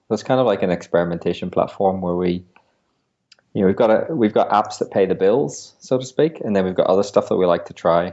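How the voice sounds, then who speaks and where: This man's voice is very deep and low. He talks at a very fast pace. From Europe. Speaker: business founder. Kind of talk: interview. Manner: hesitant, many fillers.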